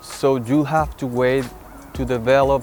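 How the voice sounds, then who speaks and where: A man speaks with a Spanish accent and fairly even intonation. Music plays in the background. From Venezuela. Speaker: photographer. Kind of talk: interview monologue. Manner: halting, with repetitions and fillers.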